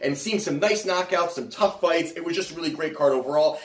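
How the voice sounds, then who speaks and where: A man uses lively intonation while noticeable background noise plays underneath. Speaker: sports betting podcast host. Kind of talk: casual podcast monologue. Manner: mumbling.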